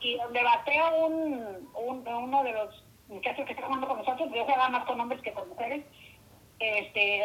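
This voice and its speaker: High female speech, lively in intonation and moderate in speed. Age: 60s. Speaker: host's mother. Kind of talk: storytelling.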